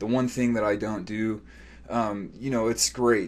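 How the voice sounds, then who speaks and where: Fairly quick speech from a man with a fairly low voice. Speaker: online video marketing freelancer. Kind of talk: sales pitch. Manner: fast; animated.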